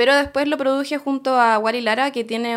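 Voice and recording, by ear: A woman speaks at a fairly quick pace in a fairly high pitch, her tone fairly bright and her intonation fairly even.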